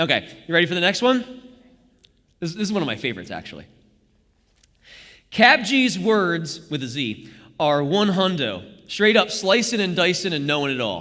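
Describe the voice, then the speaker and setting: A man's high voice with a bright, sharp tone, very wide pitch swings, and long, frequent pauses, amid audible room echo. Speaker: Bible study leader. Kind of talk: interactive Bible study. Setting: church live stream. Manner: fast; halting.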